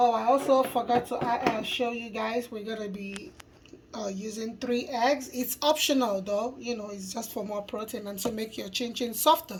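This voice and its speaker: A woman speaks at a moderate pace in a fairly high pitch with ordinary pitch variation. Noticeable background noise sits behind her. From Nigeria. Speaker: cooking youtuber. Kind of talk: cooking tutorial.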